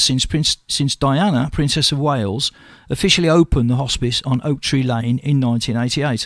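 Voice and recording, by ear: A man speaks at a moderate pace with a fairly bright tone.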